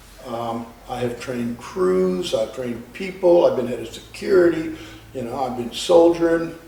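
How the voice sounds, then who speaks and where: There is audible room echo and noticeable background noise. A man speaks at a fairly slow pace. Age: 70s. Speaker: bouncer. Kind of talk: interview. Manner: halting, many fillers.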